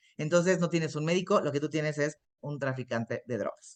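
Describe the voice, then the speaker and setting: A woman talks at a fairly quick pace. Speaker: internist and nutrition expert. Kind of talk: lecture. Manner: fast.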